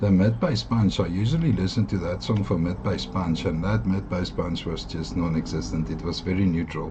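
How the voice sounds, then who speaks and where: A man with a South African accent speaks at a moderate pace with hardly any pauses, his very deep, low pitch swinging very widely. Noticeable background noise and audible room echo fill the recording. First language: Afrikaans. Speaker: audio gear reviewer. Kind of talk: product review. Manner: hesitant, many fillers.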